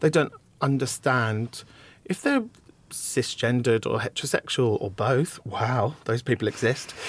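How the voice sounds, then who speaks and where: On a very clean recording with a silent background, a man speaks fairly slowly in a somewhat breathy voice with ordinary pitch variation. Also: medium pitch for a man. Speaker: comedian. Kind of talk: casual interview chat.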